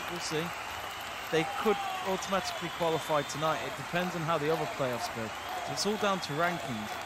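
The speech moves at a fairly quick pace, broken by long, frequent pauses. The sound is dry with no echo, and the background noise is loud. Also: man. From England. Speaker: sports watch-along streamer. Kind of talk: live match commentary chat. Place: home room.

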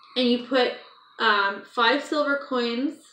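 A woman speaks at a high pitch, with audible room echo around her. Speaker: vlogger. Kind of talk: casual vlog chat. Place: home room. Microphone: phone near.

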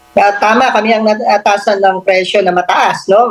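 A woman speaks at a fairly quick pace with a medium pitch. Noticeable background noise runs under her voice. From Philippines, Pampanga. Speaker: government agency official. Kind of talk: radio interview.

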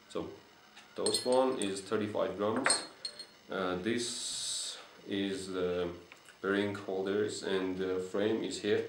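Over noticeable background noise, a man with a non-native accent speaks at a very slow pace with a fairly low pitch, monotone, flat intonation, and long, frequent pauses. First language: not English. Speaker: unicycle builder and vlogger. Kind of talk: video presentation of a product. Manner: halting, hesitant with fillers. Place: home room. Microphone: camera far.

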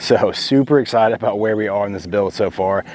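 A man with a plain, everyday voice, fairly low in pitch, at a fairly quick pace, in dry sound with no echo. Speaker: DIY builder vlogger. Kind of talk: tutorial. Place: farm machine. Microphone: lapel.

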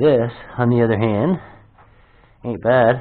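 Ordinary pitch variation in a male speaker. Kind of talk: casual vlog chat. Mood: curious, excited. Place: empty room. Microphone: phone near.

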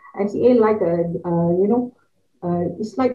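A woman's medium-pitched voice with ordinary pitch variation at a moderate pace, over a quiet background. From Malaysia. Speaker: university lecturer. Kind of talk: conference presentation. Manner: halting, many fillers. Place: home room.

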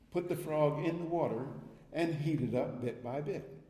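His tone dark and mellow and somewhat breathy, a man speaks at a moderate pace with ordinary pitch variation amid audible room echo. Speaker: guest lecturer, economics professor. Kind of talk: lecture. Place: hall. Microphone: podium.

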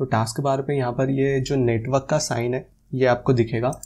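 A man speaks at a moderate pace in a flat monotone. His voice is somewhat breathy. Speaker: tech YouTuber. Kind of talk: tutorial. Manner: casual. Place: studio. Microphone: lapel.

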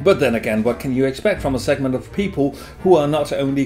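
With faint music in the background, a man speaks with ordinary pitch variation. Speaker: beer vlogger. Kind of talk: opinion commentary. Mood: sarcastic, critical. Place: home room. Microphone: camera far.

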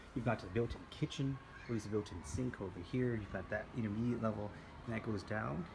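A man's fairly low, somewhat breathy voice at a fairly quick pace, ordinary pitch variation, over light background noise. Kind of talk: property tour commentary. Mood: enthusiastic. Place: home room. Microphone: phone near.

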